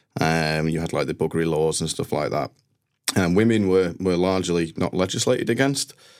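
A man with a Mancunian accent and a very deep, low pitch speaks at a fairly quick pace with ordinary pitch variation, on a very clean recording with a silent background. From northern England, Manchester. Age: 30s. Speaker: IT team manager. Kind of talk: interview.

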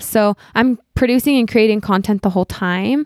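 In an ordinary speaking voice, a woman with an American accent talks at a moderate pace and medium pitch with fairly even intonation, in a very clean recording with a silent background and a dry, close sound with no echo. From Utah. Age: 30s. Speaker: artist and social media influencer. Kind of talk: interview conversation.

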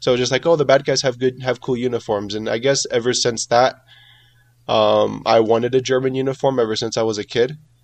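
A man with an American accent, very fast pace and monotone, flat intonation. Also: medium pitch for a man. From California, US. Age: 20s. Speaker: World War Two reenactor. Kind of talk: casual interview. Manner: halting, many fillers.

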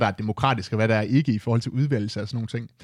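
A man talking at a very fast pace, in a very clean recording with a silent background. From Denmark, Aalborg. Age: 20s. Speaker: youth representative at a retail cooperative. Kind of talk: interview. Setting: studio.

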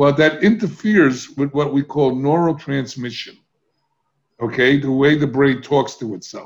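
An ordinary speaking voice with ordinary pitch variation moves along at a moderate pace. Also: man, fairly high pitch for a man. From US inner city. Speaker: addiction recovery expert. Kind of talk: interview.

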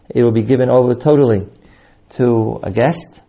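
A man's plain, everyday voice at a moderate pace, with fairly even intonation. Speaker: yeshiva teacher and podcast host. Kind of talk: announcement and introduction.

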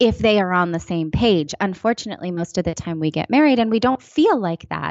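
A woman talks with an American accent and lively intonation. She has a plain, everyday voice. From California, East Bay area. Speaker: personal finance writer and broadcaster. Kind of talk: casual interview.

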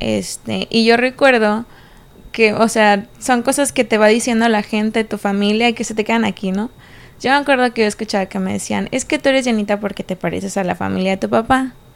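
A woman speaks in a normal speaking voice at a fairly high pitch. Her pace is fairly quick and her intonation fairly even. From Mexico, Puerto Vallarta (Jalisco coast). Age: young. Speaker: restaurant owner. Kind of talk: casual interview chat.

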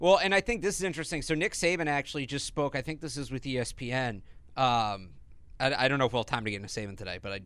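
In a very clean recording with a silent background, a man with a fairly high pitch talks at a very fast pace, his loudness swinging widely. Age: 20s. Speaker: sports podcast host. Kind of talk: casual chat. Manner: animated.

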